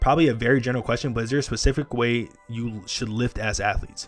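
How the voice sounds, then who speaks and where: Over music in the background, a man with a medium pitch speaks at a fairly quick pace in an animated tone. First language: Spanish. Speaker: athletic trainer. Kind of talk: livestream chat. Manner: casual, animated.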